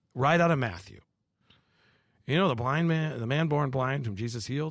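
A man with an American accent and a medium pitch talks at a fairly quick pace with lively intonation, recorded very cleanly against a silent background. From US Midwest, Madison, Wisconsin. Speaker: pastor and former Navy chaplain. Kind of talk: casual interview. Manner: animated.

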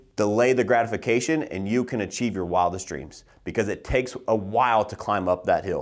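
A man's confident, medium-pitched voice at a fairly quick pace, with hardly any pauses and ordinary pitch variation. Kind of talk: pep talk. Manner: emphatic, fired-up, blunt; confident, motivational, driving.

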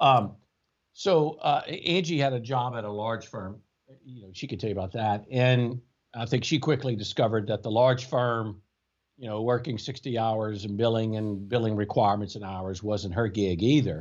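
A man with a South Louisiana accent speaks at a moderate pace and medium pitch. His pitch varies in an ordinary way, while his loudness swings widely. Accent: South Louisiana Southern US. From US South, Louisiana (Baker, near Baton Rouge). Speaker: tax attorney, law firm co-founder. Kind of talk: casual interview.

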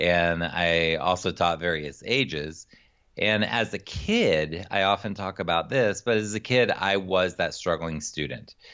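Speaking at a fairly slow pace, a man uses a very deep, low voice with an American accent. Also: ordinary pitch variation. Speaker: executive function coach. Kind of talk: interview.

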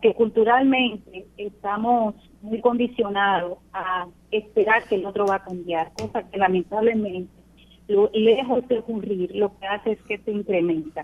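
This woman has a plain, everyday voice, medium in pitch, with fairly even intonation and a fairly slow pace. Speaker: police general. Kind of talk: radio interview. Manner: formal.

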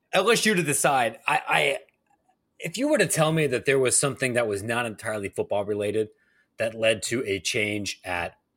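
A man with an American accent has a normal speaking voice and a medium pitch. He speaks at a moderate pace in a very clean recording with a silent background. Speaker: podcast host. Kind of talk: casual chat.

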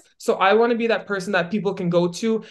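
A woman with a Canadian accent at a very fast pace, with ordinary pitch variation. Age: 20s. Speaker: real estate broker and retired athlete. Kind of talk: podcast interview.

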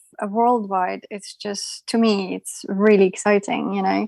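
Her speed is medium. The voice belongs to a woman. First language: not English. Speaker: artist and photographer. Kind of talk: interview podcast.

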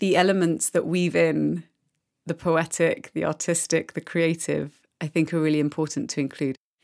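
A woman speaks at a moderate pace with fairly even intonation and vocal fry. The sound is dry and close, with no echo. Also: very clean recording, silent background. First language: French. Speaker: podcast host. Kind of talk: interview conversation.

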